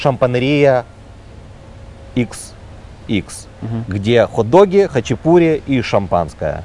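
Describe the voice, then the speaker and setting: A man at medium pitch speaks at a very slow pace with very wide pitch swings. Long, frequent pauses break up his speech. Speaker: restaurateur. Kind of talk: interview.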